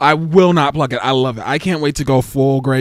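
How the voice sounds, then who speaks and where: A man speaks at a fairly quick pace in an animated tone, with ordinary pitch variation. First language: not English. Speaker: livestreamer and TV reality show commentator. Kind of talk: casual livestream chat.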